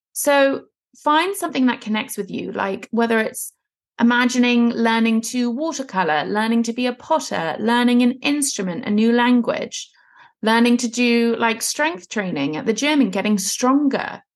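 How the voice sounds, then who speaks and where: A woman speaks in a normal speaking voice, fairly high-pitched with lively intonation, at a moderate pace against a quiet background. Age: 30s. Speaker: women's fat loss and mindset coach, podcast host. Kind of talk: solo podcast monologue, coaching talk.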